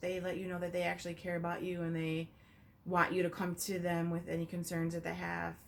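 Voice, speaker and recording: Fairly quick, monotone, flat speech from a woman with a fairly low pitch. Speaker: licensed professional counselor. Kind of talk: video application interview answers. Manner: hesitant, many fillers.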